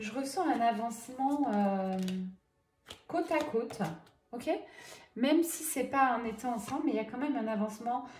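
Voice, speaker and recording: With audible room echo, a woman speaks at a fairly slow pace in a high pitch with ordinary pitch variation. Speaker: medium doing tarot guidance. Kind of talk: card reading guidance. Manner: soft, gentle; hesitant, many fillers.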